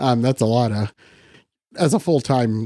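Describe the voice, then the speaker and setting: With a US Midwestern accent, a man speaks in a dark, mellow tone with ordinary pitch variation, in a very clean recording with a silent background and a dry, close sound with no echo. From Western Iowa, US Midwest. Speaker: photographer and educator. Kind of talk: interview.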